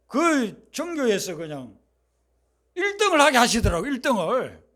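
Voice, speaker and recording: This man's voice sits extremely high in pitch. He sounds animated, with very wide pitch swings. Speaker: pastor. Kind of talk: sermon. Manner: animated storytelling.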